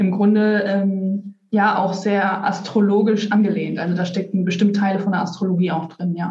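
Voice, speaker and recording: At a moderate pace and with hardly any pauses, a woman speaks in a medium pitch with a monotone, flat delivery. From Germany, North Rhine-Westphalia (Lippstadt). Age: 30s. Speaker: kabbalah reader, automotive worker. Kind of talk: interview. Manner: halting, many fillers.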